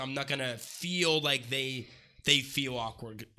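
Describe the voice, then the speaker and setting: A man talks loudly at medium pitch with a bright, sharp tone. The recording is very clean, with a silent background. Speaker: podcast co-host. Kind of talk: casual chat. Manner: fast.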